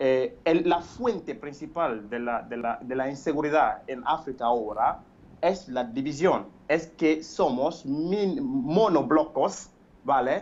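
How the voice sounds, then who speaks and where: A man at a very slow pace, fairly high in pitch, with lively intonation. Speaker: caller. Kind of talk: phone-in opinion. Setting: phone call. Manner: halting, many fillers and repetitions.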